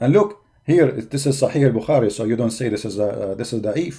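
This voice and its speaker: A man talks at a fairly quick pace with lively intonation. His tone is dark and mellow, somewhat breathy. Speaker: religious debater. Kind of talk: live stream commentary. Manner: halting, many fillers; mocking, animated.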